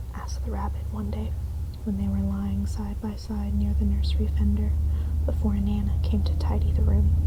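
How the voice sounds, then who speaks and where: A soft-spoken voice with a gentle tone comes through over noticeable background noise. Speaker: ASMR content creator reading a bedtime story. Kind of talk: soft-spoken bedtime story reading. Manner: soft-spoken, gentle.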